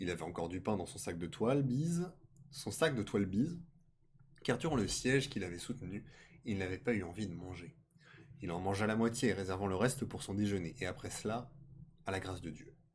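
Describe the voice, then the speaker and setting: A man speaks at a fairly quick pace with lively intonation and a fairly low, somewhat breathy voice. Long, frequent pauses break up his speech. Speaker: streamer reading tales aloud. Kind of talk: reading aloud. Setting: live stream. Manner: stuttering.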